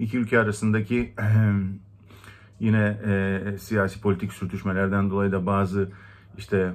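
This man speaks with a Greek accent at a fairly low pitch. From Turkey, Istanbul Greek (Rum) minority. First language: Greek (speaking Turkish). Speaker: community member. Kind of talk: personal testimony. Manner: hesitant, many fillers. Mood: calm, reflective. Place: home room. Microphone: phone near.

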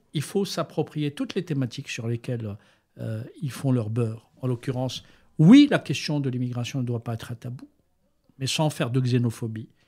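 Somewhat breathy and medium in pitch, a man talks at a moderate pace on a very clean recording with a silent background. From Algeria, Algiers. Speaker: journalist and writer. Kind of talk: interview.

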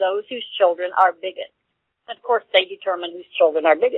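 In an American accent, a woman speaks with very wide pitch swings. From US South. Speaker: radio co-host. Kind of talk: internet radio interview.

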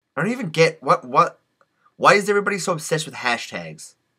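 A man's bright, sharp voice comes through loud background noise. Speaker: comedy YouTuber. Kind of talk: blooper reel of takes to camera. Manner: playful, trying different deliveries. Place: home room. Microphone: webcam.

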